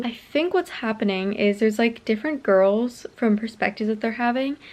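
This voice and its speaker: A woman at a very fast pace with fairly high pitch. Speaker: book vlogger. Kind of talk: casual vlog. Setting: at home late at night. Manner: filler-heavy, lots of 'like'.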